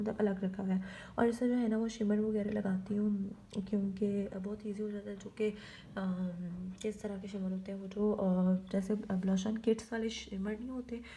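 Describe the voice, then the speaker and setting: Intonation stays monotone and flat while the words come at a moderate pace. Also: woman. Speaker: beauty vlogger. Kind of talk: makeup tutorial. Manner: soft-spoken, quiet so baby won't wake.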